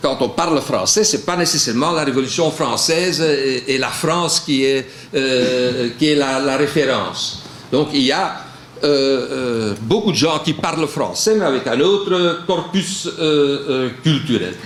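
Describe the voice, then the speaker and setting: Speaking very slowly at a fairly high pitch, a man keeps his loudness very even and his pitch variation ordinary, with audible room echo and noticeable background noise. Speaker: panel speaker on culture. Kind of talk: panel talk. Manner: halting, many fillers.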